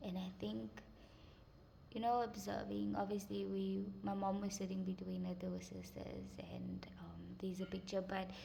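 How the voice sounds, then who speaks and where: The pace is moderate. Noticeable background noise runs under the speech. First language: Afrikaans. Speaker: vlogger. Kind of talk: personal story vlog. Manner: halting, many fillers.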